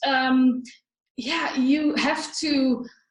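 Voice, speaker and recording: A woman's high voice with a non-native accent. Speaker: spiritual money coach. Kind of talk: online training webinar. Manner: halting, many fillers.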